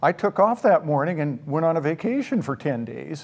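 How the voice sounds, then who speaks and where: A man with an American accent has an unremarkable speaking voice, a fairly high pitch and lively intonation. He talks at a moderate pace against a quiet background. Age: 60s. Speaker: store owner. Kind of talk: interview.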